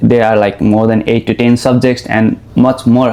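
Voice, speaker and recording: Over noticeable background noise, a man talks in a monotone with flat intonation. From Nepal. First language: Nepali. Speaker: international student, podcast host. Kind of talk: interview. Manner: halting.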